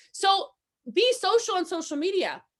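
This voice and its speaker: A woman's animated, raised and projected voice, bright and sharp in tone, with very wide pitch swings. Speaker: network marketing trainer. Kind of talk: motivational training talk. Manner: loud.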